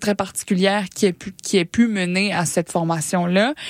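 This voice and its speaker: This woman has an unremarkable speaking voice, and her pitch variation is ordinary. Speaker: science popularization radio co-host. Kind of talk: casual science chat on radio.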